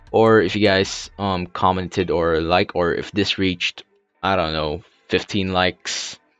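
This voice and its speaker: Music plays in the background as the speaker goes at a fairly slow pace with monotone, flat intonation. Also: man, very deep, low pitch for a man. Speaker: YouTube design tutorial creator. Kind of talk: tutorial. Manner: halting, stuttering; hesitant, many fillers.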